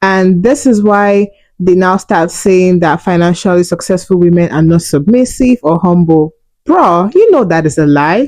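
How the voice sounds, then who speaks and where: In a Nigerian accent, a woman with a medium pitch speaks at a very even loudness. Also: ordinary pitch variation, moderate pace. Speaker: relationship and money vlogger. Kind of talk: opinion monologue.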